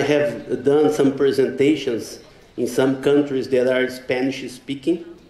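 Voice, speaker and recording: In a Brazilian accent, a man talks at a medium pitch with monotone, flat intonation, and audible room echo surrounds his voice. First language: Portuguese. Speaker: professor. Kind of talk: lecture. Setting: conference stage with audience. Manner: hesitant, with fillers.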